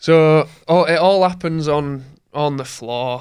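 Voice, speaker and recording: A man with a Yorkshire accent shows ordinary pitch variation on a very clean recording with a silent background. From Yorkshire, England. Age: 20s. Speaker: former cyclist, heart attack survivor. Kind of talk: casual interview.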